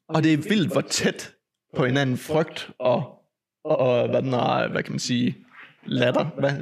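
A man's very slow, fairly high-pitched speech with vocal fry and ordinary pitch variation. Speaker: podcast host. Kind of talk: casual chat. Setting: home. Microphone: echo from mic fault in first half.

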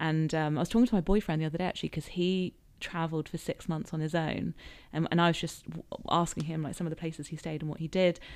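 With a southern English accent, a woman speaks very fast in a fairly low pitch and fairly even intonation, on a very clean recording with a silent background. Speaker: author and podcaster. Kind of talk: casual interview chat.

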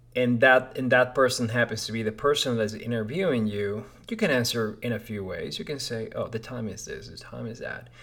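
This man has a Spanish accent and a medium pitch with ordinary pitch variation. His loudness swings in big ways. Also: fairly quick pace, hardly any pauses. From Peru (Lima). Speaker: podcast host. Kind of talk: casual monologue. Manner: hesitant, many fillers.

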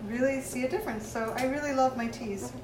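Ordinary pitch variation with audible room echo. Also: woman. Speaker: art teacher. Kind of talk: casual chat.

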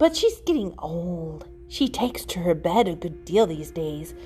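A put-on character voice at a moderate pace over clear background music. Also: woman. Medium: read story. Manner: slick, ingratiating, mischievous.

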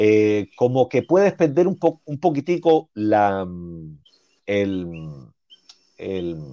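With a dark, mellow tone and fairly low pitch, a man speaks very slowly, his pitch swinging very widely between long, frequent pauses, in a dry, close sound with no echo. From Cuba, Havana (Centro Habana). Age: 40s. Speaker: teacher, Cuban immigrant. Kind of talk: interview, life story. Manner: halting, many restarts and fillers.

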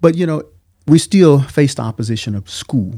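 A man talks at a moderate pace in a medium pitch, with a dark, mellow tone. His pitch swings very widely. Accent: Alabama. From Alabama, US South. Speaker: military veteran, father of co-host. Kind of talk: casual interview conversation.

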